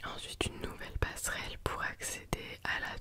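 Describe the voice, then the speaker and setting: A whisper over noticeable background noise. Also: woman. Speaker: ASMR content creator / vlogger. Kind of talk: casual talk to camera, travel vlog narration. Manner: whispered.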